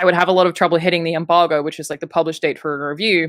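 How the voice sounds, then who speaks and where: In an American accent with fairly even intonation, the voice sounds dry and close with no echo on a very clean recording with a silent background. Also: woman. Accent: Australian, slightly changed by living in US. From Australia, Queensland. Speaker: games journalist and online video personality. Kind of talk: casual interview conversation.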